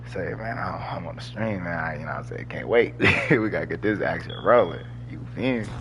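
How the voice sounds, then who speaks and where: Amid noticeable background noise and audible room echo, a man with a very deep, low pitch talks in an animated tone at a fairly quick pace, with very wide pitch swings and big swings in loudness. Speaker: gaming streamer. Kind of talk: live gameplay commentary. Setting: live stream. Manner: casual, animated.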